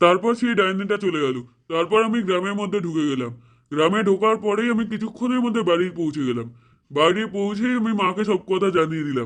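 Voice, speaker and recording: Cartoonish character voice from a man, high-pitched, at a moderate pace. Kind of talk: horror storytelling.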